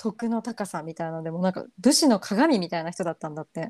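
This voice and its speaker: Lively intonation marks this woman's dark, mellow tone, heard dry and close with no echo. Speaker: podcast co-host. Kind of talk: casual chat.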